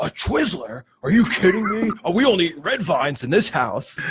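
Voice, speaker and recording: A man puts on a character voice, pitched high and swinging very widely in pitch, at a moderate pace. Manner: indignant, incredulous.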